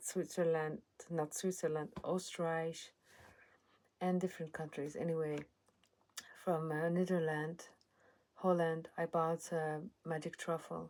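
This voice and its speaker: A woman with an Iranian accent, fairly low in pitch, fairly slow, monotone and flat, with long, frequent pauses. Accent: Persian (Iranian). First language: Persian. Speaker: channel owner speaking about her life. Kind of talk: personal testimony. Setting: at home in a cottage. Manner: halting.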